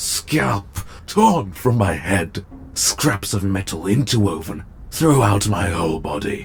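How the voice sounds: At a slow pace, a man uses a put-on character voice, low-pitched with vocal fry and big pitch swings.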